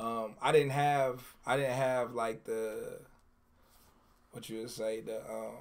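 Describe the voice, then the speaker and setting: In an American accent, a man speaks at medium pitch and a very slow pace, his intonation monotone and flat, with big swings in loudness, long, frequent pauses and audible room echo. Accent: Detroit accent, noticeable to outsiders. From Detroit, US. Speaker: hip hop artist. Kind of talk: interview. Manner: laid back.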